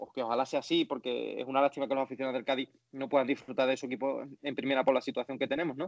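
Talking very fast with hardly any pauses, a man at medium pitch keeps a monotone, flat intonation while his loudness swings widely. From Andalusia, Spain. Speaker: sports journalist. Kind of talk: interview. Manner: halting, many repetitions.

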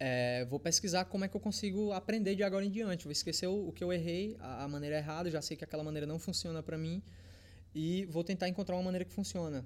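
A man with a high pitch, ordinary pitch variation and a very fast pace. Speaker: fitness content creator. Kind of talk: casual chat.

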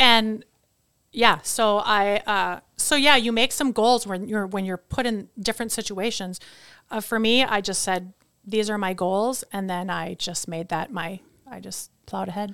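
A woman's medium-pitched voice with an American accent, bright and sharp in tone, with ordinary pitch variation at a fairly slow pace, on a very clean recording with a silent background. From US Midwest, Wisconsin. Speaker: photographer and designer. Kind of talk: casual interview. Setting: studio.

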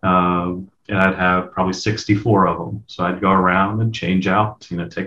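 This man speaks with an American accent in an ordinary speaking voice, pitched fairly low. His pace is fairly slow and his pitch variation is ordinary. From US, eastern shore of Virginia. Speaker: information security manager. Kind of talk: casual interview chat.

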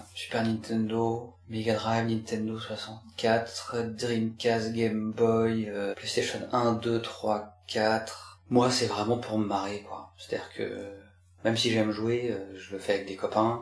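Speaking at a very slow pace, a man keeps a medium pitch and a flat, monotone delivery. Room echo is audible throughout. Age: 40s. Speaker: gamer and father. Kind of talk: interview testimony.

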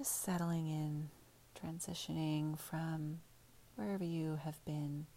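A woman talks at a fairly slow pace with a very deep, low pitch. Her tone is dark and mellow, somewhat breathy, with fairly even intonation. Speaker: meditation guide. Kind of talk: guided meditation. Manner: slow, soothing, calm; gentle, unhurried, with pauses.

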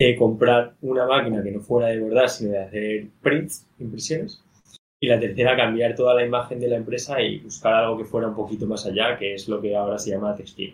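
A man talks at a fairly quick pace in a somewhat breathy voice with fairly even intonation. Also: medium pitch for a man. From Madrid, Spain. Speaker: startup co-founder. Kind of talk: casual interview.

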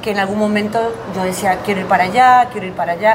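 Amid noticeable background noise and audible room echo, a woman with a fairly high pitch speaks with ordinary pitch variation. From Argentina, Buenos Aires and Tucumán. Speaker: actress and comedian. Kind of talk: casual interview. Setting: café on a busy avenue.

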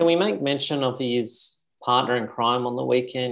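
Speaking with an Australian accent, the voice keeps a fairly even intonation at a moderate pace. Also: man. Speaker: podcast co-host. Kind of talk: casual chat.

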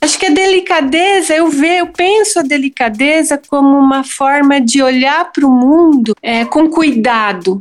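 A woman's high voice with lively intonation at a moderate pace, very even in loudness, with hardly any pauses. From Brazil, São Paulo area (Santo André). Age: 50s. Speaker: visual artist and teacher. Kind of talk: interview conversation.

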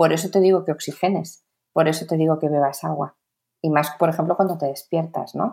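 A woman's fairly low, dark and mellow voice moves at a fairly quick pace. The recording is very clean, with a silent background. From Spain, born in Mexico. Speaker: occupational therapist and brain training expert. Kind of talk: interview, casual explanatory chat. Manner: animated.

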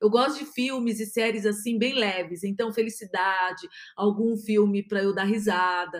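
An unremarkable speaking voice with ordinary pitch variation at a fairly slow pace. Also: woman. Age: 50s. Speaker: podcast host, positive psychology speaker. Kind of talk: solo podcast monologue.

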